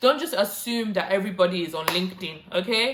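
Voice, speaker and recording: The speaker moves at a fairly quick pace with ordinary pitch variation. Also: woman. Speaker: YouTuber giving career tips. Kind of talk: vlog tutorial. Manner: fast.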